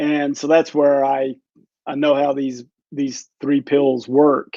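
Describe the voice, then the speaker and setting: The tone is dark and mellow. Delivery is very slow, with monotone, flat intonation. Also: man, fairly high pitch for a man. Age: 60s. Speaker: physician. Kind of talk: interview.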